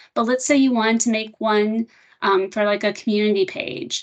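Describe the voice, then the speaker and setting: A woman at a fairly high pitch, with ordinary pitch variation. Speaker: software product trainer. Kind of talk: software demo webinar. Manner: fast.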